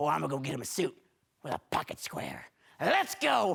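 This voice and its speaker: In a raspy, put-on character voice, a man talks at a fairly quick pace. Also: fairly high pitch for a man. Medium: stage play. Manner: sweet, soothing.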